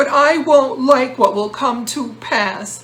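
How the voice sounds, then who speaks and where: At a fairly slow pace, a woman does a put-on character voice with a high pitch. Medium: read story. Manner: anxious, quick-tempered.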